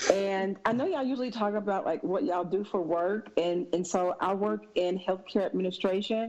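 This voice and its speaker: A woman of medium pitch with a Southern accent talks at a fairly quick pace with hardly any pauses, very even loudness and ordinary pitch variation, against noticeable background noise. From US South, Mississippi. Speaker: podcast guest. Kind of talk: casual chat.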